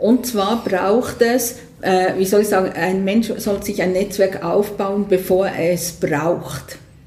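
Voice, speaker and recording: Speaking at a very slow pace, a woman with a medium pitch and ordinary pitch variation is heard over noticeable background noise and audible room echo. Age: 60s. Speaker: business consultant. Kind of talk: interview. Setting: host's premises by the water.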